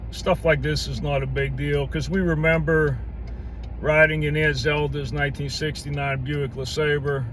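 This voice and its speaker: A man with an American accent talks at a moderate pace. Noticeable background noise and audible room echo are present. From western Pennsylvania, Pittsburgh area. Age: 60s. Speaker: video blogger. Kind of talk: casual vlog monologue. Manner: conversational, folksy.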